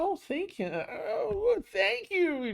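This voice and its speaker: The voice reaches an extremely high pitch. It is a put-on character voice. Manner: grateful, feigned.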